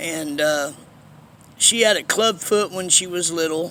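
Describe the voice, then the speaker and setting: Against noticeable background noise, a man talks at a very slow pace with a high pitch and ordinary pitch variation. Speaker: vlogger telling life story. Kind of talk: personal storytelling monologue. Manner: casual, halting with fillers.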